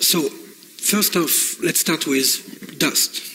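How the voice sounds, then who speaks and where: With a French accent, this voice swings very widely in pitch over noticeable background noise. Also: man. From France. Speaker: game industry executive. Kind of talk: conference presentation. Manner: halting, many fillers.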